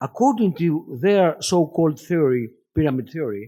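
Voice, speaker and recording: A man with a Greek accent, a dark, mellow tone, very wide pitch swings and a moderate pace. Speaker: professor of philosophy. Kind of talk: lecture. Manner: halting.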